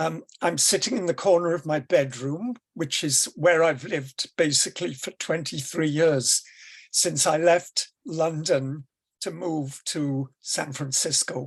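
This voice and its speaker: Against a quiet background, a man with a Welsh accent talks at a fairly slow pace. His voice is fairly high, with ordinary pitch variation. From Wales. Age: 70s. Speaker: educator on deaf-blindness. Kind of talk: presentation. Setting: video call from bedroom.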